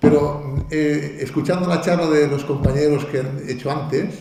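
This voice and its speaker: In a Catalan accent, a man speaks at a fairly slow pace with a fairly high pitch and fairly even intonation. Noticeable background noise and audible room echo fill the recording. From Catalonia. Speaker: video game hardware engineer. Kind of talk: conference talk. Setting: stage with audience. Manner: halting, many fillers and restarts.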